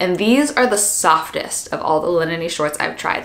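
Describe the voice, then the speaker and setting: With ordinary pitch variation, a woman keeps her delivery at a moderate pace. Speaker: fashion vlogger. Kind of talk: casual haul video chat. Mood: cheerful, enthusiastic. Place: home room.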